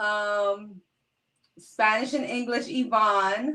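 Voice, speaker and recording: An animated woman's voice, fairly high in pitch, with a New York accent. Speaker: live-stream host. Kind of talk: casual live-stream chat. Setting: live stream.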